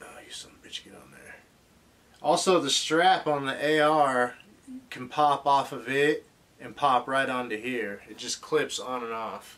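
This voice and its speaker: A man speaks at a fairly slow pace with ordinary pitch variation and big swings in loudness. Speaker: collector reviewing an action figure. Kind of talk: casual toy review. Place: home room.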